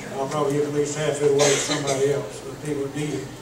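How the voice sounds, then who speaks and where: The speaker talks with a Southern US accent. Noticeable background noise and audible room echo fill the recording. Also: man. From Florida Panhandle (Jackson County). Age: 60s. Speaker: political candidate. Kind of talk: candidate debate speech.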